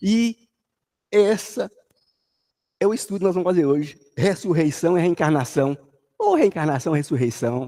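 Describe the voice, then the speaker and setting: Speaking with a high pitch and a dark, mellow tone, a man keeps a moderate pace. His intonation is lively, with long, frequent pauses. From Brazil, Jequitinhonha Valley (Minas Gerais, near Bahia). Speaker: spiritist lecturer. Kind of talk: religious study talk. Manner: sing-song intonation.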